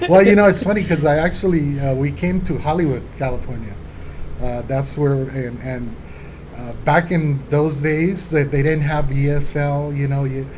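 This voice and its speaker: With noticeable background noise and audible room echo, a man speaks in a fairly high voice. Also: ordinary pitch variation, moderate pace. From Colombia, then Los Angeles from age 12. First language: Spanish. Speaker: law office administrator. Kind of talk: interview.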